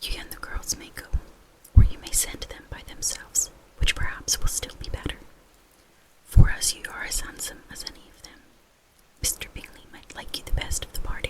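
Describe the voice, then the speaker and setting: Whispering at a moderate pace, the speaker leaves long, frequent pauses against noticeable background noise. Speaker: ASMR reader. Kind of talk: read classic novel chapter. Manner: whispered.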